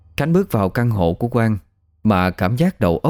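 Quiet surroundings and plain reading aloud

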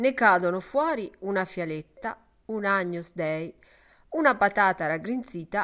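Plain reading aloud carries a lively intonation.

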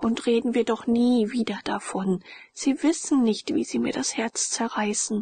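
The speaker is reading aloud. It is done in a natural voice.

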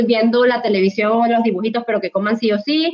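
Keeping fairly even intonation, a woman speaks at a fairly quick pace. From Latin America. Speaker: pediatric dietitian. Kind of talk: panel discussion.

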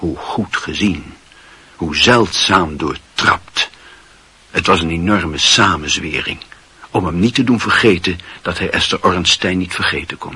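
Using a put-on character voice, a man speaks low and fairly slowly, bright and sharp yet with a husky, rough edge and ordinary pitch variation.

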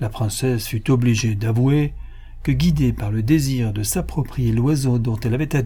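The speaker is reading aloud in a natural voice, using ordinary pitch variation.

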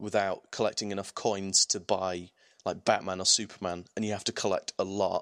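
Monotone, flat delivery with an English accent at a fairly quick pace, in a dry, close sound with no echo on a very clean recording with a silent background. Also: man. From England. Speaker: gaming podcast host. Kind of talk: casual chat.

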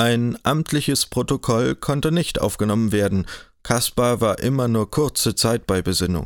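Here someone reads aloud plainly.

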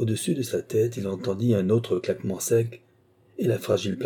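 The speaker uses plain reading aloud with fairly even intonation.

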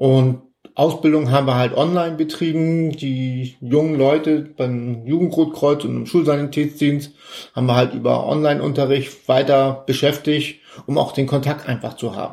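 A man's dark, mellow voice, fairly high in pitch, with fairly even intonation and a moderate pace. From northern Germany (Elmshorn, Schleswig-Holstein). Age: 50s. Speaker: Red Cross volunteer. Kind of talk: interview.

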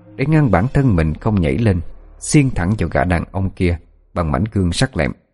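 The intonation is lively. The text is read aloud plainly.

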